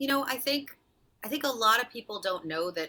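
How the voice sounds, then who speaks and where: A woman with an unremarkable speaking voice talks at a fairly quick pace. Her intonation is lively. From rural western Massachusetts. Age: 30s. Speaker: nonprofit leader and philanthropic advisor. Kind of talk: interview.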